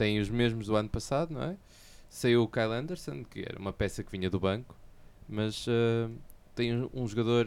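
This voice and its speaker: Using fairly even intonation, a man with a medium-pitched voice speaks at a moderate pace. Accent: European Portuguese. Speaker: podcast co-host. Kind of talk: casual chat.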